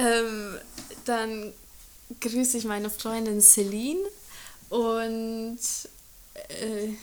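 A woman speaks at a fairly high pitch in a flat monotone. Her speech breaks up with long, frequent pauses. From Germany. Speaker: intern. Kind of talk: casual interview.

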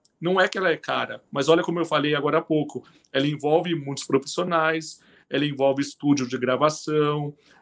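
Fairly high-pitched man at a fairly quick pace with fairly even intonation. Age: 40s. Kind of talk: interview. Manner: halting.

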